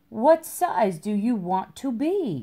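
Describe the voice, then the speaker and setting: The voice sounds female and is a put-on character voice. It sits fairly high in pitch. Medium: read story. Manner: curt, easily offended.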